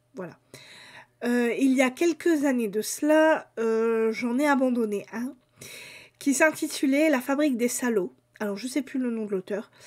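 A woman's high-pitched voice at a fairly slow pace, with ordinary pitch variation, long, frequent pauses and a quiet background. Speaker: book YouTuber. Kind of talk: casual video monologue. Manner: hesitant, many fillers. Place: home room. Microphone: webcam.

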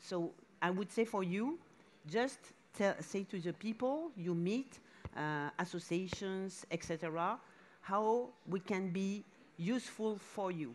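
A woman speaks very slowly in a French accent, at a medium pitch. Her intonation is lively, with long, frequent pauses. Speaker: museum director; speaker. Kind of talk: panel discussion. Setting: stage with audience at a summit. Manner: halting. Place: stage. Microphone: headset.

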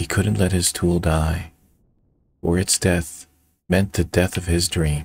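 Somewhat breathy and very deep in pitch, a man speaks at a fairly slow pace with fairly even intonation and long, frequent pauses. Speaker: storyteller and video creator. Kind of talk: bedtime-style storytelling, scripted fairy-tale narration. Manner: storyteller's measured, expressive narration with whimsical emphasis.

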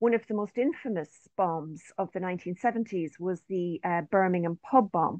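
Against a quiet background, a woman speaks at a fairly slow pace with lively intonation, the sound dry with no echo. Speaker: professor and researcher. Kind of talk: research presentation. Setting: video call. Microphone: video call.

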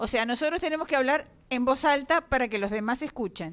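A woman talks with a high pitch. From Uruguay. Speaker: debate moderator. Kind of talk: moderating a public debate. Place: meeting room. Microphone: handheld.

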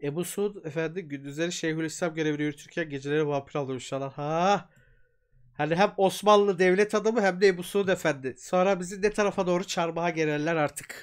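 Against a quiet background, a man with a high pitch talks in an animated tone at a fairly quick pace, with ordinary pitch variation. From Turkey. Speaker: YouTube storyteller and folklore streamer; YouTube storyteller, folklore streamer. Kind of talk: casual live stream chat with reading aloud; casual live stream talk. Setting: live stream from home. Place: home room. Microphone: earbuds.

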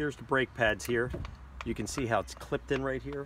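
A man at a moderate pace with ordinary pitch variation, the sound dry with no echo and noticeable background noise. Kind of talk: tutorial. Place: street. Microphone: phone near.

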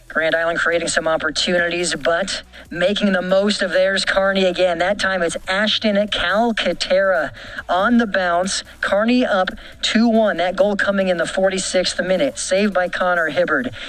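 At a moderate tempo, the speech unfolds against noticeable background noise. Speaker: local sports reporter. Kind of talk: sports commentary, play-by-play highlights voiceover.

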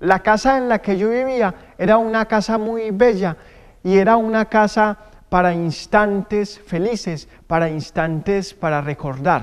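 A man's high-pitched voice at a fairly slow pace, with ordinary pitch variation, against a quiet background. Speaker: storyteller performer. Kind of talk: theatrical oral storytelling. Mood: warm, nostalgic. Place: stage.

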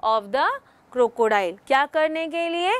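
With lively intonation and a high pitch, a woman speaks at a fairly slow pace in a dry sound with no echo. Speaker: English teacher. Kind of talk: lecture. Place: studio.

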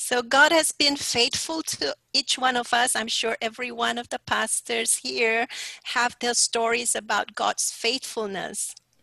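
A woman speaks in a high pitch with a bright, sharp tone and ordinary pitch variation. Her fairly slow delivery has hardly any pauses, over a quiet background with a dry sound and no echo. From Sarawak, Malaysia. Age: 60s. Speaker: pastor; speaker. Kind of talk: sermon. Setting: video call. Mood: warm, encouraging. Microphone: headset.

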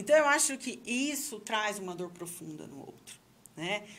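Bright and sharp in tone, a woman talks at a moderate pace with very wide pitch swings. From Brazil. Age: 40s. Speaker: sexologist and psychology professor; psychology professor. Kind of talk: casual chat. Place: studio. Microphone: studio mic.

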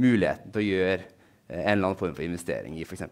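The background is quiet. A man talks with ordinary pitch variation. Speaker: researcher. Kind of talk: lecture. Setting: stage with audience. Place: hall.

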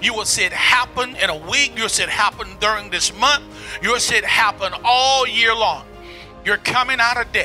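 Faint music plays in the background as a man with an extremely high pitch talks at a moderate pace. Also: ordinary pitch variation. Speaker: prophet, preacher. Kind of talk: prophetic word, sermon-style address to camera. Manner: emphatic, rhetorical, repeating phrases. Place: studio. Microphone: handheld.

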